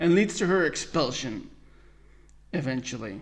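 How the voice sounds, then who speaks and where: A man with an American accent talks at a fairly high pitch. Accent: American-sounding English. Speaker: podcast host. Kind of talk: solo podcast review. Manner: halting.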